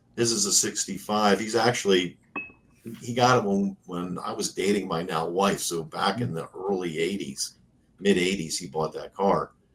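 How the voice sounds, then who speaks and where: A man talks in an American accent at a moderate pace. His pitch is fairly low, with ordinary variation. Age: 50s. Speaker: classic car YouTuber. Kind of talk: casual chat. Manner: halting, many fillers.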